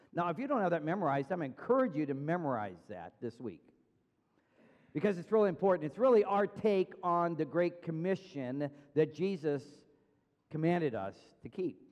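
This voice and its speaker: Long, frequent pauses from a man speaking at a moderate pace. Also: quiet background. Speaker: pastor. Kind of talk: sermon. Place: church.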